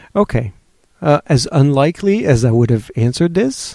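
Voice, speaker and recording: Dark and mellow in tone, a man with a French accent speaks at a fairly quick pace in a dry, close sound with no echo. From France and Switzerland. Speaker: webcomic artist. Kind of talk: interview. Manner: halting.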